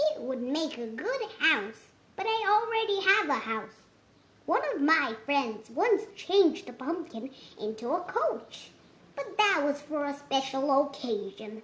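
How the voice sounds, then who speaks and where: Using a put-on character voice, a woman speaks at a high pitch and a fairly slow pace with very wide pitch swings. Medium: read story. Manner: exclamatory, good-humoured.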